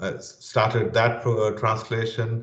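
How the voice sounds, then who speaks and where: A man talks at a medium pitch in a somewhat breathy voice. Audible room echo surrounds him. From Pakistan. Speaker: security training leader. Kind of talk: interview.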